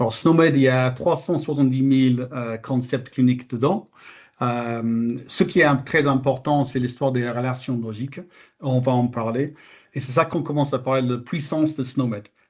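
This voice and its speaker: Speaking at a moderate pace with fairly even intonation, a man with an English accent talks at a medium pitch. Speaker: health terminology expert presenter. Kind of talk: webinar presentation. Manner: hesitant, many filler sounds.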